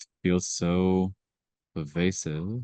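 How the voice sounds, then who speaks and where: Calm and very slow, a man speaks in a very deep, low pitch with a dark, mellow tone and fairly even intonation, the sound dry and close with no echo. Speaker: meditation book club facilitator. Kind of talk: group meditation discussion.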